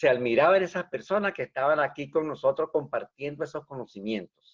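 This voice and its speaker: This man's lively intonation comes through a dry, close sound with no echo. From Venezuela, rural village. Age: 60s. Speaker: engineer. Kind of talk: interview. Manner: animated.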